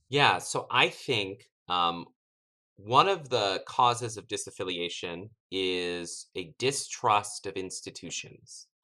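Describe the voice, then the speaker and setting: At a very slow pace, a man with an American accent speaks in a fairly low pitch with a bright, sharp tone, ordinary pitch variation and big swings in loudness. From US South, East Tennessee. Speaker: theology professor. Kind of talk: interview. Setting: at home.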